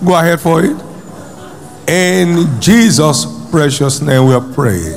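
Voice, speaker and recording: A man's fairly high voice over music in the background. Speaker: pastor. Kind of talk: fervent preaching with repeated exhortations and prayer. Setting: church with congregation. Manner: emphatic, rhythmic, repeating phrases for effect.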